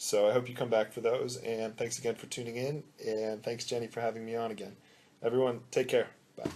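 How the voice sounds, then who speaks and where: A man talks at a fairly quick pace in a medium-pitched voice with a dark, mellow tone. His intonation is monotone and flat. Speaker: author. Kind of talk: author talk after a book reading. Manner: hesitant with fillers.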